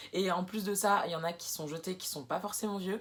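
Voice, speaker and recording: A woman keeps a moderate pace, her pitch varying in an ordinary way. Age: 20s. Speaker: sewing and upcycling vlogger. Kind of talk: casual vlog introduction. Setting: alone in her bedroom. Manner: hesitant, many fillers.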